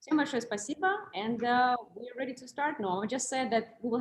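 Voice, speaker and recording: A woman talks at a fairly quick pace. Her voice is somewhat breathy. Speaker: moderator and interpreter. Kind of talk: hosting a live Q&A talk. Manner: fast.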